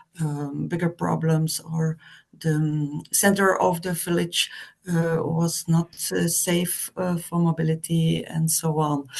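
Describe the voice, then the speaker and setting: Very slowly, a woman with a Flemish accent speaks at a fairly low pitch in monotone, flat intonation. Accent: Flemish Dutch. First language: Dutch. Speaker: representative of a village association. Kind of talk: online meeting discussion. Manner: halting, many hesitations.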